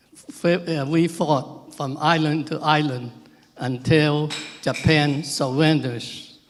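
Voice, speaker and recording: A man speaks very slowly in a fairly high voice with fairly even intonation. Background noise is noticeable. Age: 90s. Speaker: war veteran. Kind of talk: ceremony speech. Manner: halting.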